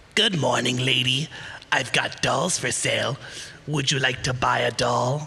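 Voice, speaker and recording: A man uses a put-on character voice at a medium pitch and a moderate pace. Background noise is clearly audible. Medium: stage play. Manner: insistent, cryptic, faintly menacing.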